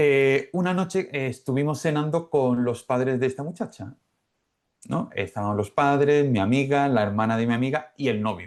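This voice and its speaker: A man with an Andalusian accent, medium pitch, lively intonation and a moderate pace. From Málaga, Spain. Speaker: Spanish teacher, former telecom engineer. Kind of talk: podcast interview answer.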